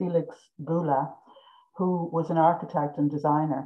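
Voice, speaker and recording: Speaking with a southeastern Irish accent, a woman has a very deep, low pitch and fairly even intonation. She keeps a moderate pace over a quiet background. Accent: south-east Irish. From Ireland, Carrick-on-Suir (south-east); Ireland. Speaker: visual artist; guest. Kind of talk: interview. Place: home room. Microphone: video call.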